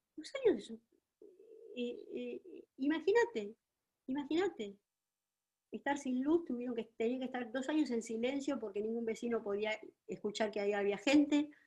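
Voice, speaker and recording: With a high pitch and a dark, mellow tone, a woman speaks with lively intonation and long, frequent pauses. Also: moderate pace. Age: 70s. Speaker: psychologist and writer. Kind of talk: lecture. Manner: halting.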